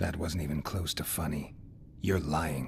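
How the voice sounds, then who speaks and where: A man uses a put-on character voice pitched very deep and low, with clear background noise behind him. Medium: video game. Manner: terse, dry.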